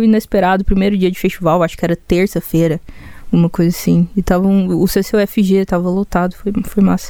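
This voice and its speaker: Using fairly even intonation at a moderate pace, a woman speaks at a medium pitch with a dark, mellow tone. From Goiânia, Brazil. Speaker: singer-songwriter. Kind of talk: casual interview chat. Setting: studio.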